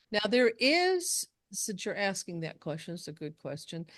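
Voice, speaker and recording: Against a quiet background, a woman talks in an American accent. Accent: Southern, comes out when she gets going. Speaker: speech contest judge trainer. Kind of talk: training workshop Q&A.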